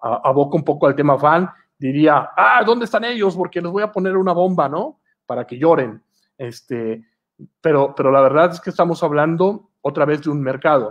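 A man's speech has lively intonation and a moderate pace. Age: 40s. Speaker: comic and storyboard artist. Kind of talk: online masterclass. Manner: hesitant, many fillers.

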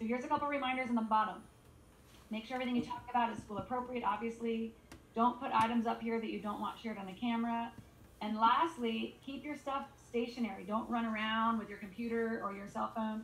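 Over light background noise and with audible room echo, a woman talks at a very fast pace with fairly even intonation. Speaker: teacher hosting class call. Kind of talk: instructions to a class. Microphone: video call.

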